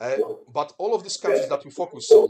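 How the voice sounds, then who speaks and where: A man with a Polish accent at a fairly quick pace. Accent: Polish accent, noticeable. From Poland. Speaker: business presenter. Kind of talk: business presentation.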